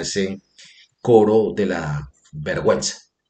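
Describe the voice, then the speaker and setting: Using an unremarkable speaking voice, a man talks in a fairly low pitch with lively intonation. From northern Cauca, Colombia. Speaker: independent video columnist and political commentator. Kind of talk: opinion video column, political commentary; angry rant around 15:48. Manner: indignant, scornful and accusatory in the rant, sharp and sarcastic; formal, polite, addresses audience courteously.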